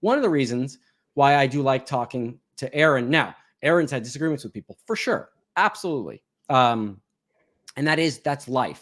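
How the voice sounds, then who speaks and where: Against a silent background in a very clean recording, a man with a fairly high pitch sounds animated, his pitch varying in an ordinary way between long, frequent pauses. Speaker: ex-Scientology member. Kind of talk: casual chat. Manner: fast.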